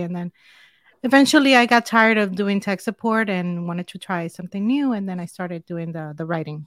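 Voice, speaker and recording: Heard with a dry, close sound and no echo, a woman with a Spanish accent speaks in a fairly low voice. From Dominican Republic. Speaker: tech reviewer. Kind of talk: casual chat. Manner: upbeat.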